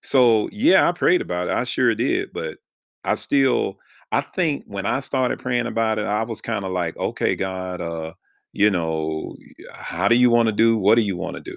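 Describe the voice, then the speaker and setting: Over a very clean recording with a silent background, a man with an American accent has a plain, everyday voice. His pitch is fairly low, his intonation lively and his pace moderate. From North Carolina. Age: 50s. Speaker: podcast host and pastor.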